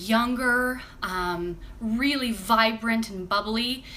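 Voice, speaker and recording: A woman with fairly even intonation, with audible room echo and noticeable background noise. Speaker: crafts vlogger and stage performer. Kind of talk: casual live stream chat. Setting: live stream. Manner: chatty with fillers.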